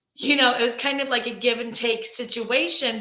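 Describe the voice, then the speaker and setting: Her tone is bright and sharp, in an American accent with fairly even intonation. A woman is heard with audible room echo. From grew up outside the US. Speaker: travel advisor. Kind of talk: panel discussion.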